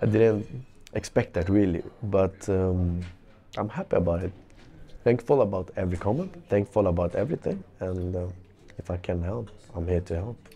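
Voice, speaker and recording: In a non-native accent, a man with a very deep, low pitch and a dark, mellow, somewhat breathy tone speaks at a moderate pace with fairly even intonation and long, frequent pauses. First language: not English. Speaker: professional footballer. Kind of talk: interview. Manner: halting.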